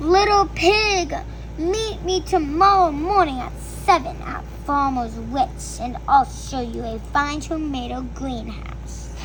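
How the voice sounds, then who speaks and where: A woman's growling, put-on character voice at a fairly slow pace over loud background noise. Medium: read story. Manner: growling, menacing.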